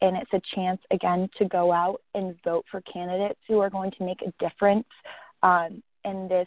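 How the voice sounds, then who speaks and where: Speaking at a moderate pace, a woman keeps a monotone, flat intonation. Her pitch sits at a medium level. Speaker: co-guest, advocate. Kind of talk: interview.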